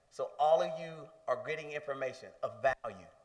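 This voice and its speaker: A man's voice moves along at a moderate pace while noticeable background noise runs underneath. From US South, Tupelo, Mississippi. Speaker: pharmaceutical company representative. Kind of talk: speech at a community health event.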